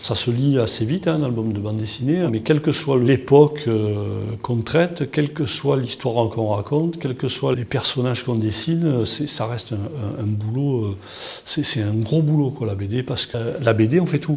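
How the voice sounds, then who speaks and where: A man's medium-pitched voice with a southern French accent, at a moderate pace with ordinary pitch variation. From southern France, Toulon. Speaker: comic book artist. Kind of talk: interview. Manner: halting, many repetitions and fillers.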